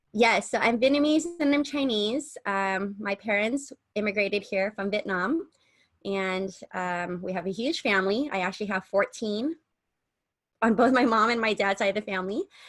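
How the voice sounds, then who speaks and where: A woman with a General American accent, fairly high in pitch, at a moderate pace with ordinary pitch variation, over a quiet background. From US West Coast, San Diego. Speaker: podcast co-host. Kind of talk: casual chat.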